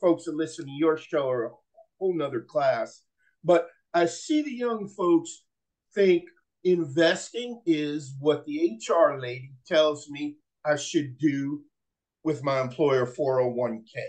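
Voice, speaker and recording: A man with an ordinary speaking voice, fairly high in pitch, lively in intonation, at a fairly slow pace. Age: 60s. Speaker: real estate investor and author. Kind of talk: interview podcast.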